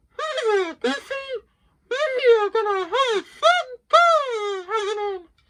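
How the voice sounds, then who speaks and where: An extremely high, put-on character voice drawls out the words at a very slow pace. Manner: cheerful.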